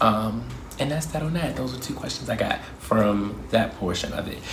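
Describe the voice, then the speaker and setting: In a Baltimore accent, a man speaks at a fairly low pitch. Noticeable background noise and audible room echo surround him. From Baltimore, US. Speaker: YouTuber. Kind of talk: Q&A vlog, casual monologue. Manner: fast; animated.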